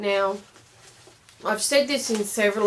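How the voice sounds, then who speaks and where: A woman with an Australian accent. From Australia, Brisbane. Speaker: clarinet teacher. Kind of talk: tutorial. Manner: hesitant, many fillers.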